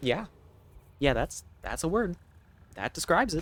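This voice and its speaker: With an American accent, the speaker delivers the words at a moderate pace. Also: man. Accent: obvious American. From United States. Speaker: game streamer. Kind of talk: casual chat. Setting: live stream.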